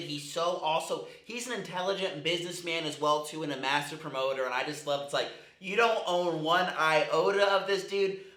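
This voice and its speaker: The speech moves at a moderate pace with ordinary pitch variation. Noticeable background noise and audible room echo are present. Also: man. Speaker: MMA commentary youtuber. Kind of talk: casual commentary. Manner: casual, filler-heavy.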